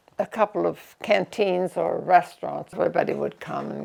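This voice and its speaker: A woman speaks with a Nova Scotian accent. Her pace is moderate. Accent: rural Nova Scotia (Maritime Canadian). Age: 90s. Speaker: elderly interviewee sharing life story. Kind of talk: life-story interview.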